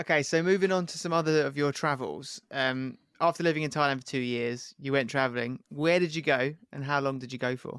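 A man speaks in a normal speaking voice, fairly high-pitched for a man, at a fairly quick pace with hardly any pauses and fairly even intonation. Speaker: travel podcast co-host. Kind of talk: casual chat.

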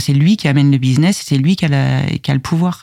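A woman speaks in a very deep, low pitch with a dark, mellow tone. Her pitch varies in an ordinary way. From Paris region, France (Val d'Oise / Yvelines). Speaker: IT production manager. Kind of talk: interview conversation. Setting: studio.

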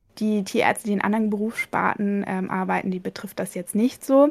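Pitched fairly high, a woman's voice moves at a moderate pace. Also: dry, close sound with no echo. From East Frisia, northern Germany. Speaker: veterinarian. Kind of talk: interview. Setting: home office.

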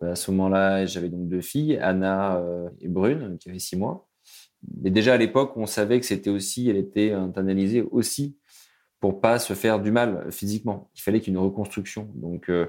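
The recording is very clean, with a silent background. A man speaks at a moderate pace with a fairly low pitch and ordinary pitch variation. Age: 30s. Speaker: widower sharing his story. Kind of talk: testimony. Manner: halting.

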